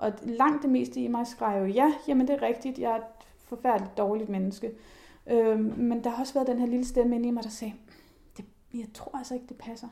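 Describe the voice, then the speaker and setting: Speaking in an ordinary speaking voice, a woman talks at a fairly quick pace and fairly high pitch, her intonation fairly even but her loudness swinging widely. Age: 30s. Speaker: journalist and body activist. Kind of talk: casual chat.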